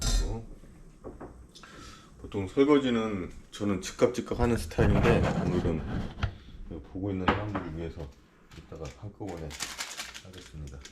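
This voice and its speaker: Lively intonation at a moderate pace, with long, frequent pauses, big swings in loudness and noticeable background noise. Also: man, very deep, low pitch for a man. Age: 50s. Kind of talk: casual cooking commentary.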